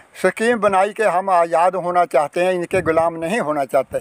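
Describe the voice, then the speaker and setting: High-pitched for a man, this male voice has fairly even intonation and a dry sound with no echo. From Punjab, Kapurthala district; Punjab. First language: Punjabi (speaking Hindi). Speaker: partition-era elder, former mill worker. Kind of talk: interview; interview answer. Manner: halting. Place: open country. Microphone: phone near.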